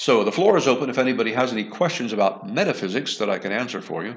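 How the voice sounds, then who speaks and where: A man of medium pitch talks at a very fast pace with lively intonation. Audible room echo surrounds his voice. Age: 60s. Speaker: online science educator, show host. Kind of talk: live online lecture wrap-up and Q&A. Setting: virtual reality gallery.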